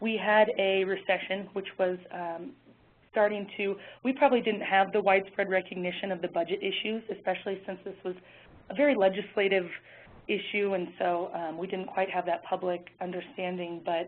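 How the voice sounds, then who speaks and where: This woman's voice sits at a medium pitch. Her intonation stays fairly even. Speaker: policy advocate. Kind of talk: webinar presentation. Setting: webinar call. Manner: fast.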